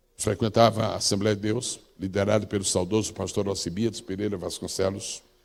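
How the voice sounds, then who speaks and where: Flat, monotone intonation at a fairly quick pace, with hardly any pauses. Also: man, fairly low pitch for a man. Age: 70s. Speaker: pastor. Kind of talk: sermon.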